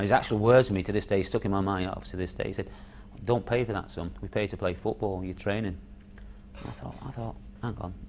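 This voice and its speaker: A man's fairly low voice with vocal fry, ordinary pitch variation and a fairly quick pace, over light background noise. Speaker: former footballer; interviewee. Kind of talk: recalled interview on football memories; interview answer. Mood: reflective, incredulous. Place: studio.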